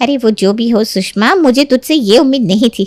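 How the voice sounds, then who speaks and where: A woman speaks in a cartoonish character voice at a fairly quick pace. Her pitch is fairly high. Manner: loud, taunting.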